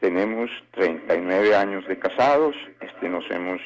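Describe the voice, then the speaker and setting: A man at a fairly slow pace, with noticeable background noise behind him. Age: 60s. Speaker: radio caller. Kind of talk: phone-in call. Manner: halting.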